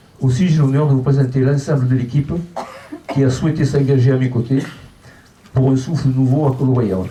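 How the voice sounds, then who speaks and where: With music in the background and audible room echo, a man talks at a fairly quick pace and medium pitch. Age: 70s. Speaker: local election candidate. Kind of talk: public speech.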